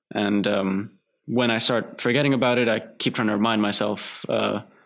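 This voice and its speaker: In an American accent, a man speaks with a fairly low pitch and fairly even intonation. The recording is very clean with a silent background, and his loudness is very even. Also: moderate pace. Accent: American-sounding accent from TV. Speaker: filmmaker. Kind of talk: casual interview. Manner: halting, many fillers.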